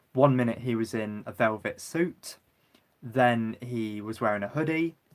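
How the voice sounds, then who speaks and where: In a British accent, a man speaks at a fairly slow pace and a medium pitch. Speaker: YouTuber livestreaming. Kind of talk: casual livestream chat. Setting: livestream. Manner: talking non-stop.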